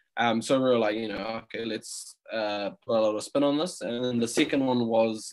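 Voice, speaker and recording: In a New Zealand accent, a man speaks at a medium pitch and a moderate pace with ordinary pitch variation. The recording is very clean, with a silent background. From New Zealand, Auckland. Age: 20s. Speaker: food business co-founder. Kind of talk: interview.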